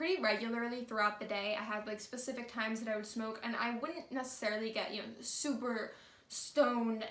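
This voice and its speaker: Audible room echo surrounds a woman's voice. Her pitch is fairly high and her intonation fairly even. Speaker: vlogger. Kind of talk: storytime monologue. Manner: casual, conversational; stutter.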